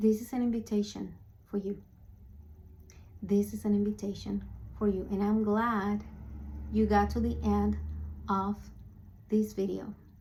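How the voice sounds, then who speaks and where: A woman with a non-native accent speaks at a fairly slow pace. She leaves long, frequent pauses. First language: not English. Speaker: spiritual speaker / vlogger. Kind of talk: motivational talk to camera. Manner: halting, with fillers.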